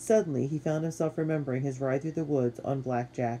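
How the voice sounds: Natural reading voice throughout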